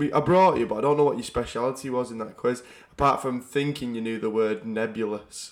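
A plain, everyday voice, a man of medium pitch with ordinary pitch variation talks at a fairly quick pace on a very clean recording with a silent background. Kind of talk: casual banter podcast chat.

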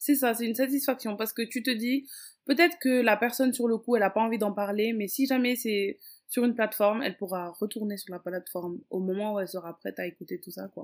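A woman speaks very fast in a fairly high voice, with ordinary pitch variation and big swings in loudness. The recording is very clean, with a silent background. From Senegal, Dakar. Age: 20s. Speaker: mother and Instagram influencer. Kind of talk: casual interview.

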